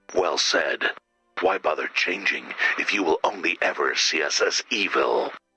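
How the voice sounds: Doing a put-on character voice, a man speaks low in pitch with a bright, sharp tone, a husky, rough edge and lively intonation, as faint music plays in the background. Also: fairly slow pace.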